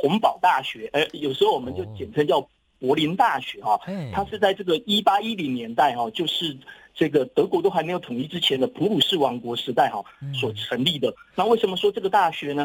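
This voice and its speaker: A man talks at a fairly quick pace and fairly high pitch. His pitch swings very widely. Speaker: professor. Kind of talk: interview.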